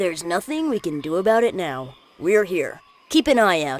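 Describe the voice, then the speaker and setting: A cartoonish character voice sits at a middle pitch. It moves at a moderate pace with very wide pitch swings. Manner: relaxed, unflappable.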